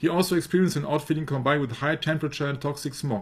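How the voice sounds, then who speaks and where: A man's fairly high, somewhat breathy voice at a very fast pace, with fairly even intonation. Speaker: researcher presenting a study. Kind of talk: discussion of a prepared study. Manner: halting, with frequent fillers.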